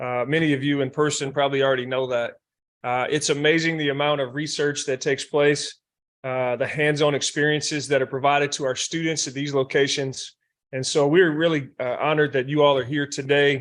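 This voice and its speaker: A man with a North Carolina accent speaks fairly quickly at a fairly high pitch in a flat monotone, against a quiet background. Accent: Southern US (North Carolina). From rural North Carolina. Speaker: university president. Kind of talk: welcome speech. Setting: workshop room with audience, also streamed online. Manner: hesitant, many fillers.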